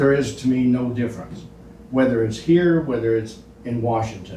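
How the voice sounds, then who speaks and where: Audible room echo surrounds a man's voice. He speaks at a moderate pace with ordinary pitch variation. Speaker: public commenter at county meeting. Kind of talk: public comment at meeting. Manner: loud.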